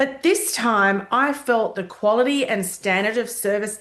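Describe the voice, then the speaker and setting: Speaking fairly slowly with an Australian accent, a woman has a fairly high pitch and lively intonation. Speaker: hospitality consultant. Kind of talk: casual talk to camera. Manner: conversational with fillers.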